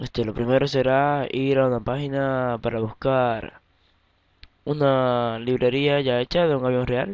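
This man's medium pitch and monotone, flat intonation come through at a fairly slow pace. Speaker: flight simulator tutorial youtuber. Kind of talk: screen-recorded software tutorial. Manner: casual, hesitant with fillers.

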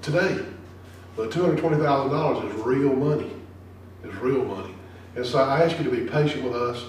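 Audible room echo and light background noise surround a man speaking fairly quickly. His pitch shows ordinary variation. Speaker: council meeting chair. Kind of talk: public address at meeting. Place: meeting room. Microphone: podium.

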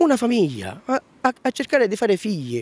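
A man talks at a fairly quick pace, his voice dry with no echo. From Sicily. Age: 20s. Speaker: farmer. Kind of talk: street interview. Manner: animated. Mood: frustrated, aggrieved. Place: street. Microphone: handheld.

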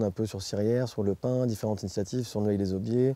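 Dark, mellow male voice at a moderate pace, with ordinary pitch variation and a dry sound with no echo. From city-raised France. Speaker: community association organizer. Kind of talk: interview. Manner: halting. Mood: calm, thoughtful. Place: garden. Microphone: lapel.

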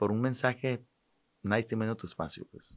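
The speech has ordinary pitch variation against a quiet background. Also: man. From Sinaloa, Mexico. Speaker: businessman and charity president; podcast guest. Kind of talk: casual interview chat. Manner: halting, repetitive. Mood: calm, reflective. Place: studio. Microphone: studio mic.

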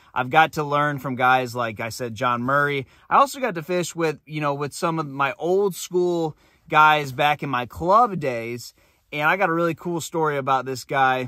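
Against a quiet background, a man with a bright, sharp tone speaks at a moderate pace, his pitch varying in an ordinary way, with a dry sound and no echo. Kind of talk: casual vlog chat, storytelling. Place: home room. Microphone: phone near.

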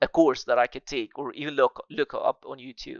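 A man talks at a fairly quick pace, with a dry sound with no echo and a quiet background. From Egypt, Alexandria. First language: Arabic. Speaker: architect and AI artist. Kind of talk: casual interview. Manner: hesitant, filler-heavy. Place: home room. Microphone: headset.

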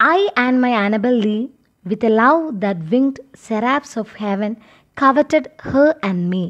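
Lively intonation from a woman with a fairly high pitch. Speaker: literature teacher. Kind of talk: lecture with poem reading aloud. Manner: warm, friendly, teacherly.

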